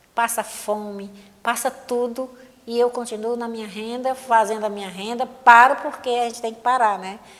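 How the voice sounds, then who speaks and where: A woman speaks at a fairly high pitch and a moderate pace with monotone, flat intonation. Her loudness swings a lot. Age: 70s. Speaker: lace maker. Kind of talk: interview testimony.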